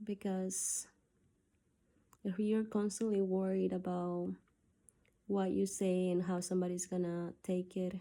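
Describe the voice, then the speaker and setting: A woman with a Spanish accent, dark and mellow in tone at a medium pitch, fairly slow with long, frequent pauses, flat, monotone intonation and very even loudness. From South America. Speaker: video diarist. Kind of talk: personal gratitude monologue. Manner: halting.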